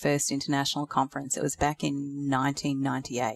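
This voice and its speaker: In an Australian accent, a woman talks fairly quickly at a very deep, low pitch, in a dry, close sound with no echo on a very clean recording with a silent background. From North Queensland, Australia. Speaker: veterinary nurse and academic. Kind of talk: interview.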